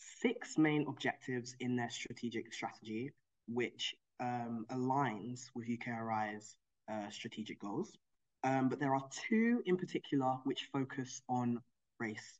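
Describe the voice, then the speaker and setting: Against a quiet background, the words come at a fairly slow pace. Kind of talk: presentation talk. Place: home room. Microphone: video call.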